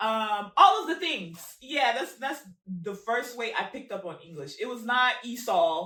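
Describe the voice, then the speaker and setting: The speaker uses a bright, sharp tone at a fairly slow pace with hardly any pauses. Pitch swings very widely and loudness rises and falls a lot. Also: woman, fairly high pitch for a woman. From Congo. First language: Lingala. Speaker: podcast host. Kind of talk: casual chat.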